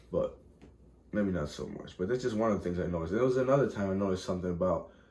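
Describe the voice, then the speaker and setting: Heard with audible room echo, a man speaks at a fairly low pitch in a dark, mellow tone. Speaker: vlogger. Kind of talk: casual monologue. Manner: fast; rambling, halting with false starts.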